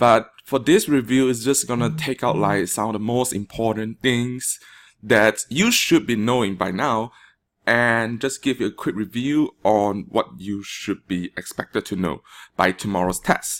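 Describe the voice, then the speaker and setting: A man with a Malaysian accent and medium pitch speaks at a fairly slow pace, using ordinary pitch variation. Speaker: teacher. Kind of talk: classroom test review lecture.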